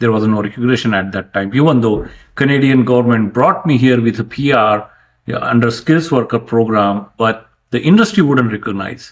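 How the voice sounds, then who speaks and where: A man with a Marathi accent, ordinary pitch variation, moderate pace. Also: medium pitch for a man. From India, rural Maharashtra. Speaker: franchise owner, engineer. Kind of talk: interview conversation.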